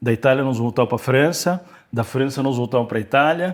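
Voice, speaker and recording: Ordinary pitch variation marks the man's medium-pitched voice. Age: 60s. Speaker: company CEO. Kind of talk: interview. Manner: hesitant, many fillers.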